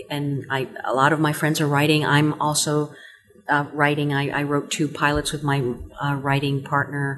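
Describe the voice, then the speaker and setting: This woman has a very deep, low voice and a Spanish accent. Her intonation is flat and monotone, and her pace is moderate. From Cuba. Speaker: stage and screen actress. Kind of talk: casual interview.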